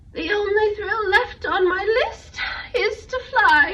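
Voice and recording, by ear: A woman puts on a character voice with an extremely high pitch and a bright, sharp tone, speaking at a slow pace with ordinary pitch variation.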